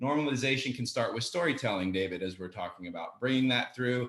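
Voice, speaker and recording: At a fairly quick pace comes an unremarkable speaking voice. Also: man. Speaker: panel moderator. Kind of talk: panel discussion.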